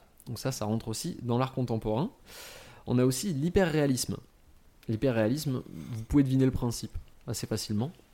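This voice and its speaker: Heard in a very clean recording against a silent background, a dark, mellow voice moves at a fairly quick pace with ordinary pitch variation and long, frequent pauses. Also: man, medium pitch for a man. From France, Franche-Comté. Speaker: podcast panelist presenting on contemporary art. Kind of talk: casual explanatory chat.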